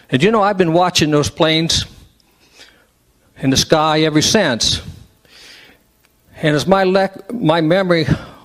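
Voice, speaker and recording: Speaking at a moderate pace, a man uses a fairly high pitch with ordinary variation. He has an American accent. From West Virginia. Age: 60s. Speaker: public meeting speaker. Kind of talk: public comment at meeting. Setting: public meeting hall with microphone.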